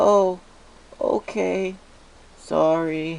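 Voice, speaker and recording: A nasal, put-on character voice at a middle pitch. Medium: read story.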